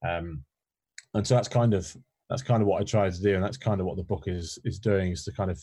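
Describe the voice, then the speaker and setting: The voice is somewhat breathy and dark, mellow in tone, moving at a very fast pace. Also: man. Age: 30s. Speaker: employee experience specialist and author. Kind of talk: casual interview. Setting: remote call from home spare room.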